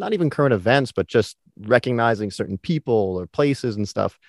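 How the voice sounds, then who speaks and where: With an ordinary speaking voice, a man talks at a moderate pace with lively intonation. The sound is dry and close with no echo, over a quiet background. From New York. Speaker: podcast host. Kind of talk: casual interview chat.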